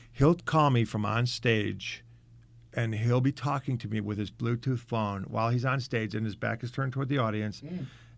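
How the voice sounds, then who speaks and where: Moderate-tempo talk from a man, a plain, everyday voice with usual pitch variation. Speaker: comic magician. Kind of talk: radio interview answer. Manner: casual, candid, wry.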